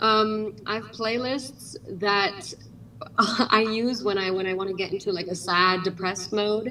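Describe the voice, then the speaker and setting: Her fairly high voice, with an American accent, moves at a fairly slow pace with ordinary pitch variation. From Germany, American mother. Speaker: actress. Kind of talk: livestream interview.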